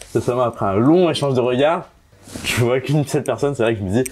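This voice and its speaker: A man's medium-pitched voice at a very fast pace with ordinary pitch variation, amid noticeable background noise. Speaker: blind date participant. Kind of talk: casual chat.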